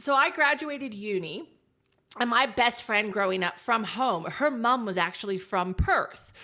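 In an American accent, a woman talks at a fairly slow pace with a fairly high pitch. Her tone is animated as well as bright and sharp. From Texas. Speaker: digital marketing strategist. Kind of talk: casual interview chat. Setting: remote call.

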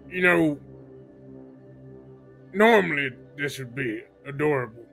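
Using a put-on character voice, a man talks at a moderate pace, fairly high in pitch, with faint music in the background. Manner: gruff, exasperated.

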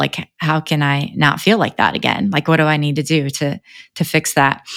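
With a Midwestern American accent, a woman speaks at a moderate pace in a very deep, low pitch, the sound dry and close with no echo on a very clean recording over a silent background. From US Midwest (Northeast Indiana). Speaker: realtor. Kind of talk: casual interview.

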